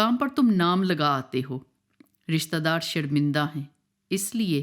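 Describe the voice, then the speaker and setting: Her pitch swings very widely. The background is silent and the recording very clean. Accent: Pahari. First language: Pahari (speaking Hindi). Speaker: spoken word poet. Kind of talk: poetry reading.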